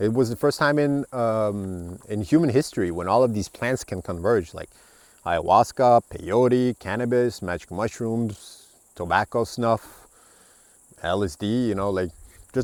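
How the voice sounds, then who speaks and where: The sound is dry and close with no echo. A man with an Estonian accent speaks at a medium pitch and a moderate pace. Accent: specific Estonian accent in English. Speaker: book reviewer, podcaster. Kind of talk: reading aloud and commenting on a book. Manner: talkative; halting.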